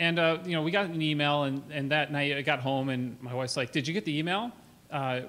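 This man talks at a fairly quick pace in a bright, sharp tone, with ordinary pitch variation. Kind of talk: conference talk. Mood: earnest, lightly humorous. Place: hall. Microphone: podium.

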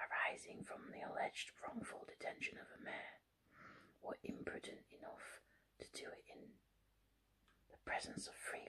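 Soft-spoken and whispering, the speaker goes at a fairly slow pace with long, frequent pauses. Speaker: reader. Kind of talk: reading a novel aloud. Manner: soft ASMR whispered book reading. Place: home room. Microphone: phone near.

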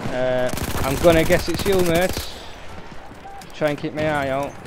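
A man with a Yorkshire accent speaks at a fairly high pitch, his intonation fairly even. The sound is dry with no echo, though background noise is noticeable. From Yorkshire, Hull (northern England). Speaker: gaming streamer; gamer streamer. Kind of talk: live gameplay commentary; casual gameplay commentary. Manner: casual, hesitant with fillers. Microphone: poor microphone, may cut out.

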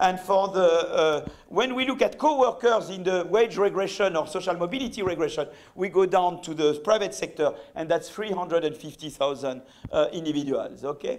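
A man with a high pitch speaks at a moderate pace, his intonation lively. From France. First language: French. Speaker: economics professor. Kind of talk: lecture. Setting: stage with audience. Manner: halting. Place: hall.

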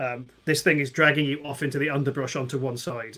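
With a bright, sharp tone, a man talks at a moderate pace in a medium pitch and fairly even intonation.

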